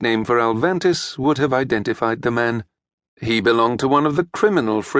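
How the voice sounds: Heard here is a natural reading voice. The background stays quiet.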